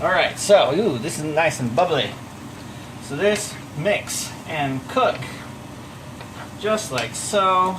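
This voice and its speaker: Shouting loudly at a very slow pace, the voice has lively intonation, long and frequent pauses, audible room echo, and noticeable background noise. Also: man, high pitch for a man. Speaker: home cooking vlogger. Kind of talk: cooking tutorial. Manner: loud, near-yelling; casual, chatty. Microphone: microphone not plugged in, using built-in mic.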